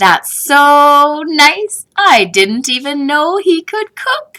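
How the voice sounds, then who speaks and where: In a put-on character voice, a female-sounding voice speaks at a high pitch and a very slow pace. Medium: read story.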